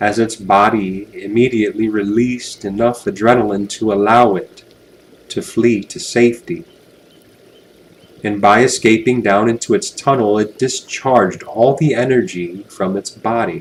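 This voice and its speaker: Pitch varies in an ordinary way as a normal speaking voice moves at a moderate pace. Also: man, medium pitch for a man. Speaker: hypnotherapist, guided hypnosis narrator. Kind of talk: guided hypnosis, relaxation script.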